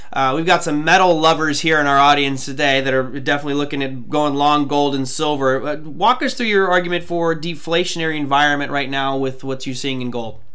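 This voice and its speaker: He has a normal speaking voice, fairly high in pitch, with fairly even intonation. The man talks at a fairly quick pace with hardly any pauses. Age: 40s. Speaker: trading show host. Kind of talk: live show interview. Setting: live stream. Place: home room. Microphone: webcam.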